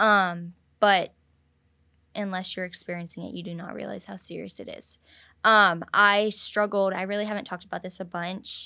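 A woman with a bright, sharp tone and medium pitch speaks at a moderate pace in a monotone, flat intonation, in a very clean recording with a silent background. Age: 18. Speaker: cheerleader and accident survivor. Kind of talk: casual chat.

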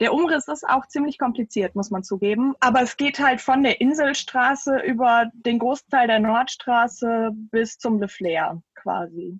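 A woman with a high voice and lively intonation speaks at a fairly slow pace with hardly any pauses, in a dry, close sound with no echo. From Düsseldorf, Germany. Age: 30s. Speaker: local politician and candidate. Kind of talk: casual interview. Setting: video call. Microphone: poor sound quality.

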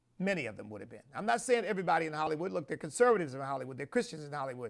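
A man speaks with a fairly high pitch and vocal fry. His pitch swings very widely. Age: 60s. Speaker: bishop and show host. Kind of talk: sermon-style commentary. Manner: halting; animated.

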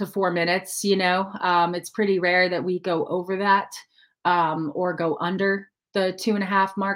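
A woman with an ordinary speaking voice and medium pitch talks at a moderate pace. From Denver, Colorado. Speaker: country singer-songwriter. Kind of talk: casual interview.

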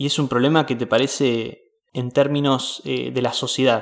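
A man with a Rioplatense accent talks at a medium pitch with fairly even intonation. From Mar del Plata, Argentina. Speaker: podcast host. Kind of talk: interview.

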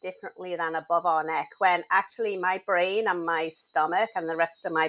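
Fairly quick speech in an English accent with fairly even intonation. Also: woman. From England. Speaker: mental health advocate and author. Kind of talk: casual interview chat.

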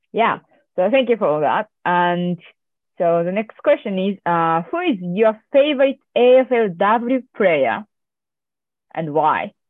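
Speaking with a Japanese accent, the voice moves at a very slow pace, with very wide pitch swings and long, frequent pauses. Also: woman, medium pitch for a woman. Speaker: amateur sports club organiser and podcast host. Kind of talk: casual interview.

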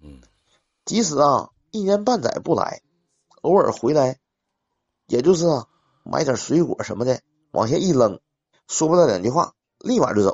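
At a moderate pace, a man with a fairly high pitch and vocal fry swings very widely in pitch and leaves long, frequent pauses. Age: 40s. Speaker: caller. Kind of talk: casual chat.

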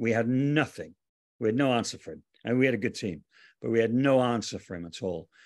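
Against a quiet background, the speaker talks in a Cardiff accent. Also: man. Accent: Welsh (Cardiff). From Wales, Cardiff. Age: 40s. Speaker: arena DJ and anthem singer. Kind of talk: casual chat.

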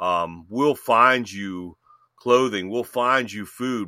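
A man talks at a very slow pace with a fairly low pitch. His pitch varies in an ordinary way. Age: 50s. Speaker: podcast co-host. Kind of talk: casual chat. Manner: halting.

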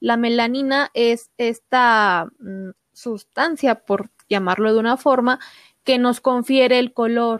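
Over a silent background in a very clean recording, a woman with a plain, everyday voice talks at a fairly slow pace, fairly high in pitch with ordinary pitch variation, the sound dry and close with no echo. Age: 20s. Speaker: doctor. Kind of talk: interview.

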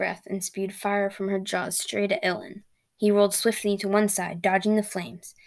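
In a natural voice, text is read aloud with a quiet background.

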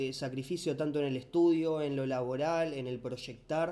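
This man has a Rioplatense accent and a fairly high pitch. His tone is dark and mellow, with ordinary pitch variation. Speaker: podcast co-host. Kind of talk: casual interview.

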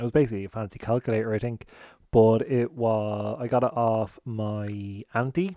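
A man with an Irish accent talks at a moderate pace in a dark, mellow tone at medium pitch with fairly even intonation, the sound dry and close with no echo. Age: 30s. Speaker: podcast host. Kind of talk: casual solo chat. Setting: at home, garden. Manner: chatty, informal.

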